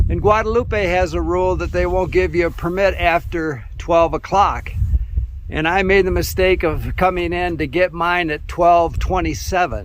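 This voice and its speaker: A man talks at a moderate pace while noticeable background noise runs underneath. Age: 70s. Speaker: backpacking vlogger. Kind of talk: outdoor vlog rant. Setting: outdoors on a mountain peak. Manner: conversational, with hesitations.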